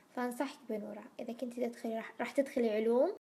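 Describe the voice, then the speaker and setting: A woman speaks at a high pitch and a moderate pace. Her pitch variation is ordinary. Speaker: YouTuber, recent university graduate. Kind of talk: casual vlog Q&A.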